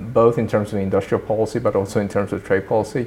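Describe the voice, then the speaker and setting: With a fairly low pitch, a man speaks in a monotone, flat intonation. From Sweden, moved from Japan as a child. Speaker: trade policy think tank director. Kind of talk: interview conversation.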